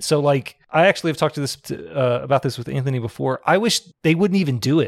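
Talking at a very fast pace with a slight Texan accent, a man with a fairly high pitch sounds dry and close, with no echo. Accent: slight Southern Texan. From Texas. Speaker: podcast host. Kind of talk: casual chat.

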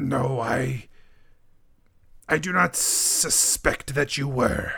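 A raspy put-on character voice from a man, medium in pitch and very slow. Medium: actual play. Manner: formal, measured, no contractions.

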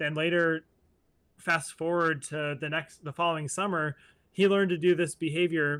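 A man with an American accent speaks at a high pitch and moderate pace in a bright, sharp tone with monotone, flat intonation. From US Midwest, Ohio. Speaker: animal trainer and podcaster. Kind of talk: casual interview.

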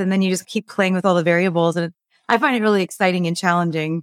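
A woman's plain, everyday voice at medium pitch, with an American accent, in a very clean recording with a silent background and a dry, close sound with no echo. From Los Angeles, US. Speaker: dietitian and author. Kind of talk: casual interview.

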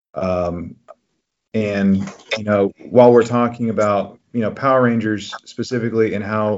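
A man speaks at a fairly slow pace with a medium pitch and ordinary pitch variation. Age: 30s. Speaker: podcast host, counselor. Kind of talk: casual chat. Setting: call. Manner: halting, many fillers.

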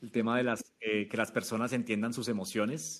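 A man speaks at a medium pitch. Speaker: startup founder and CEO. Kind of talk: interview.

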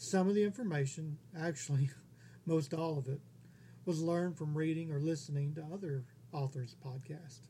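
With an American accent, a man speaks in a fairly high, somewhat breathy voice with a dark, mellow tone and fairly even intonation. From Texas. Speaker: independent author, podcast host. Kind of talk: scripted narration.

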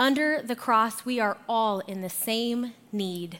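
A woman with an American accent has a plain, everyday voice, fairly high in pitch with lively intonation. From Arizona. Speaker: guest pastor. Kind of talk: sermon. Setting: church.

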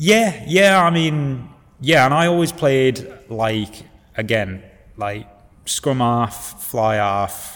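At a very slow pace, a man with a Yorkshire accent speaks in a medium pitch with lively intonation. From northern England, Hull. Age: 20s. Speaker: rugby player and teacher. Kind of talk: casual chat.

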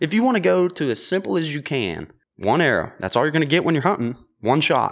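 A man with an American accent and a fairly high pitch speaks at a moderate pace, swinging widely in pitch, with vocal fry. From western Pennsylvania (Ford City area). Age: 20s. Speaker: bowhunter and outdoor content creator. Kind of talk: casual chat. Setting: host's garage.

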